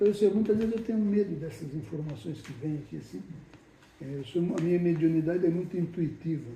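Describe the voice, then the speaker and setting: A man with a high pitch, ordinary pitch variation, big swings in loudness and a fairly quick pace, amid audible room echo. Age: 70s. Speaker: spiritist medium and group leader. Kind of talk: casual chat.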